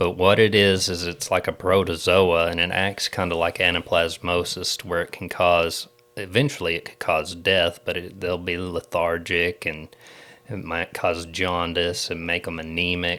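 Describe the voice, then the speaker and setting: Flat, monotone intonation carries this voice at a moderate pace. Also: man, very deep, low pitch for a man. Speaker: agricultural extension agent and podcast co-host. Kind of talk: casual podcast chat. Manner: informal, halting at times.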